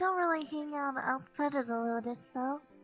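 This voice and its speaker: A woman puts on a character voice pitched high. Music plays clearly behind her. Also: moderate pace. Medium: game stream. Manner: hesitant, rambling.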